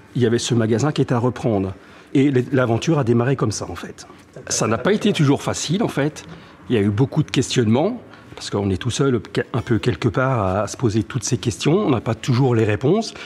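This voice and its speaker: The man speaks at a medium pitch. He moves at a fairly quick pace with ordinary pitch variation. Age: 60s. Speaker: music shop owner. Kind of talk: interview. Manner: halting, many hesitations.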